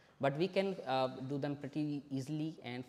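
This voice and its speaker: A man talks with an Indian accent. His pitch varies in an ordinary way. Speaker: software developer and company founder. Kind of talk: tech talk demo at a meetup. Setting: live-streamed meetup presentation. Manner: fast.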